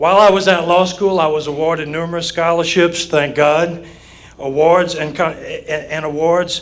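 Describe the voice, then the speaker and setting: In a Southern Louisiana accent, a man with a fairly high pitch speaks at a moderate pace in a flat monotone, with audible room echo. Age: 60s. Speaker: judicial candidate, lawyer. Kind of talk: campaign speech at candidate forum. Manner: formal.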